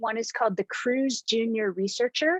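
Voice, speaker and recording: A woman with an unremarkable speaking voice talks at a moderate pace and a fairly high pitch, her intonation lively. The sound is dry and close with no echo, over a quiet background. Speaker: science outreach educator. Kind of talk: presentation to teachers.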